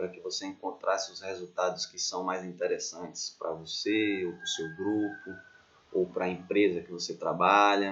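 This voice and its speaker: This man talks at a moderate pace. His volume rises and falls sharply. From Bahia, Brazil. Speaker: doctoral student, researcher. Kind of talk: educational lecture.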